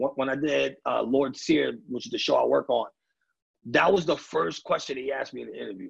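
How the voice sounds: Raspy and gravelly, a man talks at a fairly quick pace with vocal fry, a husky, rough edge and ordinary pitch variation.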